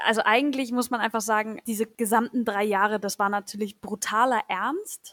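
A woman with a fairly high voice talks at a moderate pace with fairly even intonation and hardly any pauses. The sound is dry and close, without echo. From northern Germany. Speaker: horse trainer. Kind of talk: interview. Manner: hesitant with fillers.

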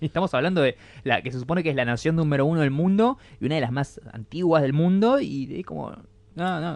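Using a normal speaking voice, a man talks at a fairly quick pace and a fairly high pitch, with lively intonation. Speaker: podcast co-host. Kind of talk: casual chat.

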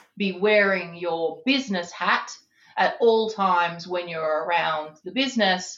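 Speaking fairly slowly with an Australian accent, a woman uses a medium pitch and ordinary pitch variation. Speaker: business executive. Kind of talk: interview.

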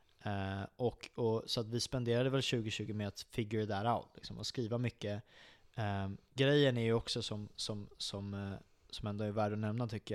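This is an unremarkable speaking voice from a man with a fairly low pitch. He keeps a moderate pace and fairly even intonation. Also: very clean recording, silent background. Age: 20s. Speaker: metal band musician. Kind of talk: casual chat. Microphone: close to mic, moved it back.

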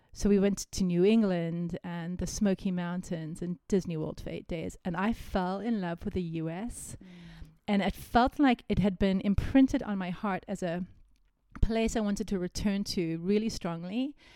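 Woman with an American accent, medium pitch, ordinary pitch variation, moderate pace, warm, dark, mellow tone, on a very clean recording with a silent background. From South Africa, Cape Town. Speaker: prophetic intercessor. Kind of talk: personal testimony interview. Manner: warm, reflective, laughs often.

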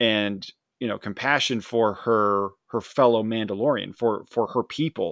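With a plain, everyday voice, a man speaks at a moderate pace with fairly even intonation in a very clean recording with a silent background and a dry, close sound with no echo. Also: medium pitch for a man. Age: 40s. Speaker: podcast co-host and reviewer. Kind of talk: casual chat.

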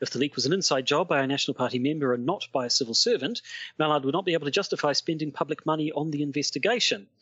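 A man with a New Zealand accent at a very fast pace, fairly high pitch, ordinary pitch variation and very even loudness. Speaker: podcast host discussing politics. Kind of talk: casual chat.

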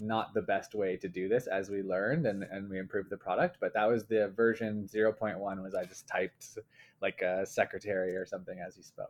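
A man with an ordinary speaking voice, fairly low in pitch, at a fairly quick pace, with fairly even intonation and big swings in loudness. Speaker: company co-founder. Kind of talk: casual interview chat.

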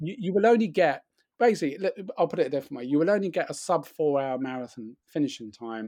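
With lively intonation and a fairly quick pace, a man talks in an ordinary speaking voice on a very clean recording with a silent background. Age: 40s. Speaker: running writer and author. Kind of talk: casual chat.

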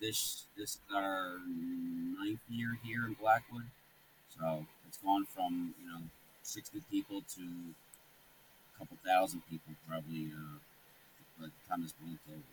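A man's very deep, low voice with ordinary pitch variation and big swings in loudness. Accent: American. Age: 40s. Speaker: Halloween display hobbyist. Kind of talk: casual interview.

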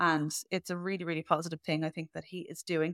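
A woman with an Irish accent speaks at a fairly quick pace in a fairly low, monotone, flat voice. The recording is very clean with a silent background and a dry, close sound with no echo. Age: 30s. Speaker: podcast host and health coach. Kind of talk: casual interview chat.

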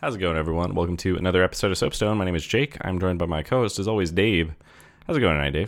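A man in a put-on character voice talks at a very fast pace, raspy and very deep and low in pitch. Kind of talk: podcast host intro. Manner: talking fast, nervous.

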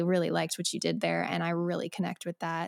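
A woman with an American accent speaks at a very fast pace and a fairly low pitch, in a very clean recording with a silent background. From Colorado. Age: 20s. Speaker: singer-songwriter. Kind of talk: casual chat.

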